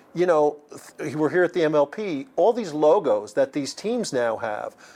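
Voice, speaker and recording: Against a quiet background, a man with an American accent and a normal speaking voice talks at a moderate pace and fairly high pitch. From US Northeast, Long Island. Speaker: magazine publisher. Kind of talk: interview. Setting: at a pickleball event.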